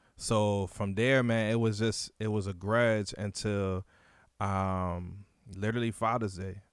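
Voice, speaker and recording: A man in an American accent, fairly low-pitched, monotone and flat, at a fairly slow pace, on a very clean recording with a silent background. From Virginia (Suffolk). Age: 30s. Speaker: youth mentoring program founder. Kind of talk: casual interview, personal testimony.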